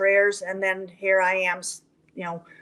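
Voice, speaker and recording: Fairly even intonation from a woman with an American accent, at a moderate pace. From Colorado, US. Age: 60s. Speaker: horse trainer. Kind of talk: interview chat. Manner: halting, many fillers.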